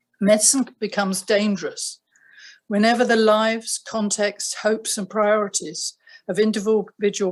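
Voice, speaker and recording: A woman speaks with a southern British accent. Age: 70s. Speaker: retired family doctor. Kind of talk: prepared statement. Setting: video call. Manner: formal.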